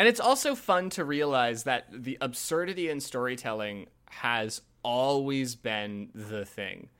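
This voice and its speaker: A man with an ordinary speaking voice at medium pitch talks at a fairly slow pace with lively intonation and hardly any pauses, on a very clean recording with a silent background. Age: 20s. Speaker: podcast host. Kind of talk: casual chat.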